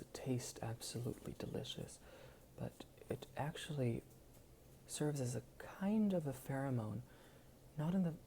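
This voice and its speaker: Breathing somewhat audibly, a man speaks at a moderate pace in a dark, mellow tone. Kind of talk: ASMR video.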